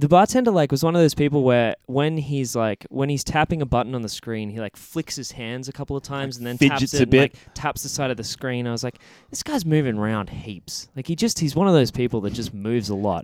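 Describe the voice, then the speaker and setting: Medium-pitched man with an Australian accent, lively intonation, big swings in loudness, a moderate pace, and a dry, close sound with no echo. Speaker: podcast co-host.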